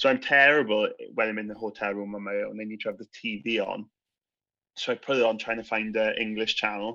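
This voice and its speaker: Against a quiet background, a man with a South Wales accent speaks in a fairly low, bright, sharp voice with monotone, flat intonation. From Wales, Swansea. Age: 30s. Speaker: teacher. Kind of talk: casual chat.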